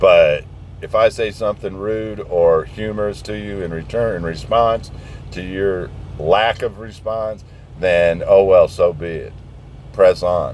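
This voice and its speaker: A man's animated, fairly slow speech with big swings in loudness over noticeable background noise. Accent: American. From southern Indiana, US. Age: 60s. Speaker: truck driver vlogger. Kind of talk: casual rant. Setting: outdoors, parked truck.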